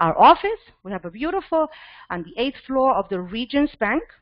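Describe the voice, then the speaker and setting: A loud woman's voice at a fairly quick pace with very wide pitch swings. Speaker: financial services business owner presenting to new agents. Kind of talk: business presentation.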